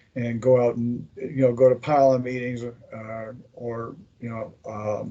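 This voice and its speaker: Flat and monotone, a man's dark, mellow voice stays at a medium pitch. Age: 60s. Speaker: former occult order member, veteran. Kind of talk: interview.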